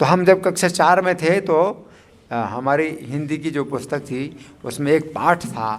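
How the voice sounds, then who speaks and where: A man talks with ordinary pitch variation as noticeable background noise carries on behind him. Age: 60s. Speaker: spiritual teacher. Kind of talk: religious discourse. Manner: hesitant, with fillers.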